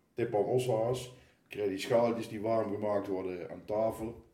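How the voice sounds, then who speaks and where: Through audible room echo, a man with a fairly low pitch and a dark, mellow tone talks at a moderate pace. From Netherlands, Oosterhout (Gelderland). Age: 60s. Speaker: carnival committee member. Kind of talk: casual chat. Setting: kitchen table at home.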